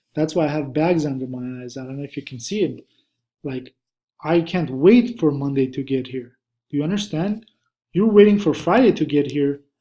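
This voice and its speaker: A man speaks in a fairly high voice with a dark, mellow tone and lively intonation. His pace is moderate, and his loudness swings widely. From Armenia (Russian Armenian). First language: Russian or Armenian. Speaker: stock trader and trading course instructor. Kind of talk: online course lecture, casual.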